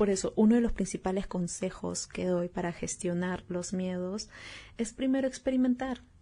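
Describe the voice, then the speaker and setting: A woman speaks in a dark, mellow tone that is somewhat breathy. Her intonation stays fairly even. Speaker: podcast host. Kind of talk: solo podcast talk.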